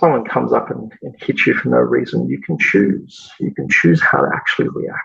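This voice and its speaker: A man talks with an Australian accent. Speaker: massage school executive. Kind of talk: podcast interview. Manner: hesitant with many repeated words.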